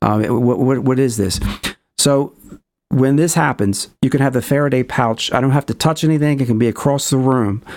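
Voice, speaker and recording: Speaking in a normal speaking voice, a man talks at a fairly quick pace in a medium pitch, with very even loudness and ordinary pitch variation. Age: 50s. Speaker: documentary filmmaker and paranormal experiencer. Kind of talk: interview.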